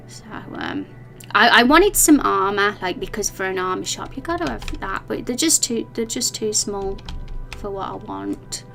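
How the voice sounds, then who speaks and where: Music plays in the background as a woman with a strong English Midlands accent talks at a moderate pace with big swings in loudness. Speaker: indie game developer streamer. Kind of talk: casual chat. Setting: live stream. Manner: halting.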